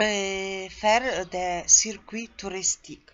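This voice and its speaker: A woman is speaking at a medium pitch. She has a Polish accent. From Poland. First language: Polish (speaking French). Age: 40s. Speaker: tour guide job seeker. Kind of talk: self-presentation video. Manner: halting, with hesitations.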